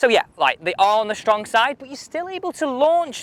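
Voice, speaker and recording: A man with a British accent talks at a fairly slow pace. His pitch is extremely high, with very wide swings. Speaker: golf equipment reviewer. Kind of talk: casual video review.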